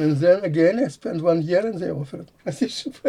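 Somewhat breathy yet dark and mellow in tone, a man speaks at a fairly high pitch with ordinary pitch variation. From Latvia (Riga). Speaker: computer science professor. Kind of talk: interview. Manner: halting.

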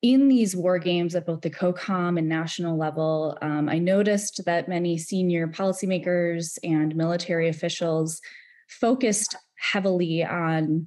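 Someone with a plain, everyday voice speaks with an American accent and fairly even intonation. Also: woman. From US Midwest, Wisconsin. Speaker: intelligence analyst. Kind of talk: panel discussion.

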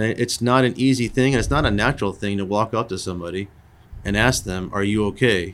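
A man with a normal speaking voice, fairly low in pitch, with ordinary pitch variation and a fairly quick pace. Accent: American. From US Northeast, Long Island, New York. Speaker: air force wing commander. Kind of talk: interview. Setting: conference room.

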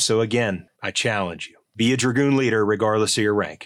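A man with an American accent talks at a fairly quick pace in an unremarkable speaking voice with ordinary pitch variation. The recording is very clean with a silent background. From Ohio, Cincinnati. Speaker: army colonel. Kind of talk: podcast interview. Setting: studio.

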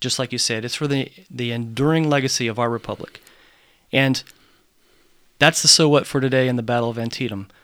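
Though his pace is fairly quick, a man with a medium pitch leaves long, frequent pauses, keeping fairly even intonation. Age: 40s. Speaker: military history podcast co-host. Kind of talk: casual conversation about history.

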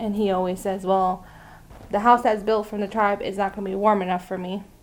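Delivered at a moderate pace, the speech comes in an American accent with monotone, flat intonation. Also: woman. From Arizona, Navajo Nation. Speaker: army civilian employee. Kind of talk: casual interview.

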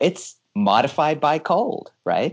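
A Californian accent against a quiet background. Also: man. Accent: Californian American. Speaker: air force research officer. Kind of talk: interview.

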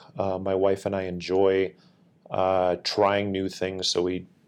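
In a very clean recording with a silent background, a man with an Upper Midwest accent speaks at a very deep, low pitch. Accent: Upper Midwest (Minnesota). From Minnesota, Northfield. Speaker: military senior enlisted leader. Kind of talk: interview, casual chat.

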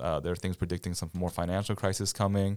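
On a very clean recording with a silent background, a man with an American accent talks very fast in a very deep, low, monotone voice. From US Midwest, near Cleveland, Ohio. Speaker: military chaplain. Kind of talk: casual interview.

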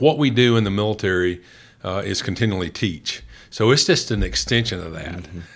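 Lively intonation and a fairly quick pace in a Southern US accent, with big swings in loudness. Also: man, fairly low pitch for a man. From rural West Tennessee. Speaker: senior military officer. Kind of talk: interview.

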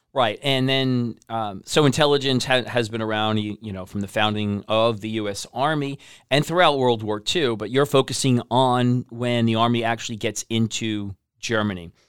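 On a very clean recording with a silent background, a man uses an ordinary speaking voice at a medium pitch and moderate pace, with ordinary pitch variation. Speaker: podcast host. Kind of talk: interview.

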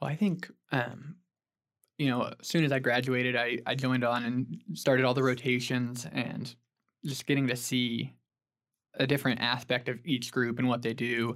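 In an American accent, an ordinary speaking voice moves at a moderate pace with fairly even intonation. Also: man, medium pitch for a man. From Oklahoma (Stillwater). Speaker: structural engineer. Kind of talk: casual interview.

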